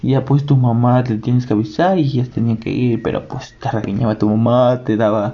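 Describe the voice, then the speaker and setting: Amid noticeable background noise, a man with a Mexican accent speaks at a moderate pace in a medium pitch with ordinary pitch variation. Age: 20s. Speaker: podcaster. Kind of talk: casual monologue. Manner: hesitant, many fillers.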